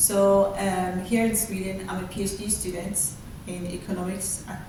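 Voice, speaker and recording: A woman speaks at medium pitch and a moderate pace in a monotone, flat intonation, with audible room echo and noticeable background noise. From Ghana. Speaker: PhD researcher and university lecturer. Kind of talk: interview.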